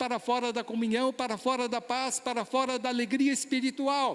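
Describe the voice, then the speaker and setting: Here is a man's voice. His pitch is extremely high. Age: 60s. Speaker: pastor. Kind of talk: sermon.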